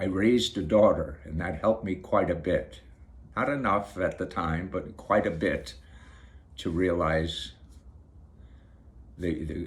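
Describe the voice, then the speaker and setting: A man's very deep, low pitch, somewhat breathy, with ordinary pitch variation and long, frequent pauses. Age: 60s. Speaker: video blogger. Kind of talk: casual monologue to camera. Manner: halting, repeats words.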